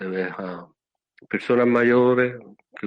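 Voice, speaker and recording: Intonation stays monotone and flat as a man talks at a fairly slow pace. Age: 60s. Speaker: Buddhist monk. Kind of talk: casual chat. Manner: calm, relaxing.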